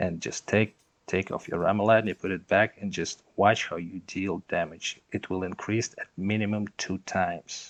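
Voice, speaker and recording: A man with a non-native accent talks at a fairly slow pace, his pitch fairly low with ordinary variation. The sound is dry and close, with no echo. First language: not English. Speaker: gaming content creator. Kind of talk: gameplay tutorial. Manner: halting, many fillers.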